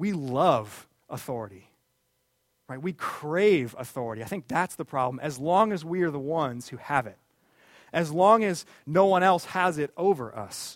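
A man with an unremarkable speaking voice talks at a moderate pace in a fairly high pitch, his intonation lively and his loudness swinging widely, on a very clean recording with a silent background. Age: 30s. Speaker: pastor. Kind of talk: sermon.

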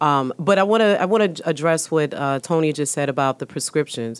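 The woman's pitch is very deep and low. She talks at a fairly quick pace with ordinary pitch variation. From New York, South Bronx. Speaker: emergency room physician. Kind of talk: panel discussion. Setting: studio.

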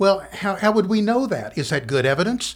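A man with a Kentucky accent talks at a moderate pace, his pitch swinging very widely. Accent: Kentucky Southern US. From western Kentucky, Muhlenberg County. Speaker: English lecturer and author. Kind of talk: interview conversation.

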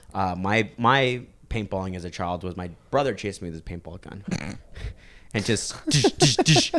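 A man with an unremarkable speaking voice, fairly low pitch with ordinary variation, a moderate pace and big swings in loudness. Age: 20s. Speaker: strength athlete / powerlifter. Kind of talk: casual chat.

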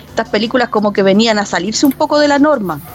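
Noticeable background noise sits behind a woman speaking at a fairly quick pace. Her pitch is fairly high, with ordinary variation. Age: 40s. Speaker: university library staff, podcast co-host. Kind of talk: casual chat.

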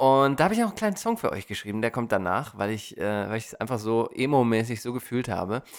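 Talking at a very fast pace with hardly any pauses, a man uses a medium pitch and ordinary pitch variation. The recording is very clean, with a silent background. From Germany. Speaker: podcast host. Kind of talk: casual chat. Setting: studio.

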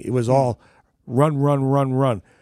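A medium-pitched man with an American accent and a dark, mellow tone, recorded dry and close with no echo on a very clean, silent background. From Derby, Connecticut. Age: 70s. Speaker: local sports figure. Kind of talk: interview. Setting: radio studio.

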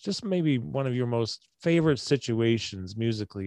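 Over a quiet background, a man with an American accent uses a normal speaking voice at medium pitch, moving at a moderate pace with lively intonation. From Syracuse, New York. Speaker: podcast host and musician. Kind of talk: casual interview. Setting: video call.

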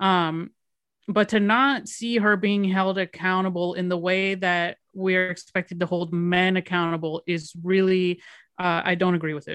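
With an American accent, this unremarkable speaking voice moves at a moderate pace with fairly even intonation, sounding dry and close with no echo against a quiet background. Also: woman, medium pitch for a woman. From Miami, Florida. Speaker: filmmaker. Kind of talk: casual chat.

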